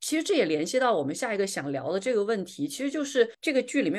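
Over a quiet background, a woman talks at a very fast pace. Her pitch swings very widely. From southern China. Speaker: podcast host. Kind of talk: casual chat.

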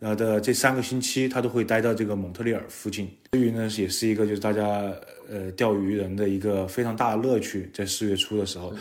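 Speaking very fast in a fairly low, monotone voice with flat intonation, a man is heard over noticeable background noise and audible room echo. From Chengdu, Sichuan, China. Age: 30s. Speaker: fishing enthusiast and swim coach. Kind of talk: casual interview.

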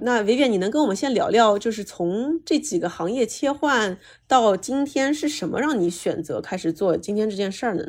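Very clean with a silent background, the recording has a woman at a moderate pace with a fairly high pitch and very wide pitch swings. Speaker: podcast host and marketing company founder. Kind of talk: casual interview chat. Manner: fiery, energetic.

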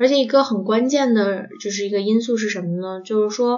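A woman at a fairly high pitch with fairly even intonation and a moderate pace, over noticeable background noise. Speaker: podcast host. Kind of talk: casual chat. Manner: hesitant with many fillers.

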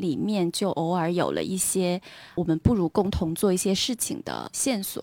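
A woman with an unremarkable speaking voice at a fairly slow pace with ordinary pitch variation, on a very clean recording with a silent background. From Beijing. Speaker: art institution worker. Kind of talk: casual interview chat.

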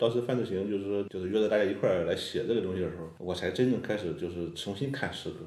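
Hardly pausing, a man talks at a very fast pace with a fairly low pitch and ordinary pitch variation, in a room with audible echo. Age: young. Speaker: poet. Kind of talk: casual chat.

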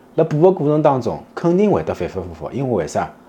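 A fairly quick pace in a Shanghai accent. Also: man. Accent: Shanghainese speaker. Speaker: traditional Chinese medicine doctor. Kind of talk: casual talk to camera. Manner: conversational, frequent tag questions.

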